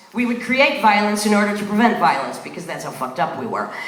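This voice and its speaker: With an American accent, a woman speaks at a medium pitch against noticeable background noise. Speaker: spoken word performer. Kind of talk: live spoken word performance. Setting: live venue, audience. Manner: profane, confrontational.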